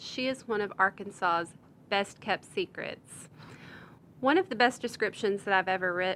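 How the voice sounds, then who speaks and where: Here is a woman with an ordinary speaking voice. Her pitch is medium and her intonation fairly even. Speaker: podcast host. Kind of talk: podcast introduction.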